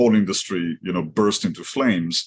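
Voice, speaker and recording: Using ordinary pitch variation at a moderate pace, a man with an Israeli accent speaks in a very deep, low voice. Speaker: company executive. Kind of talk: podcast interview.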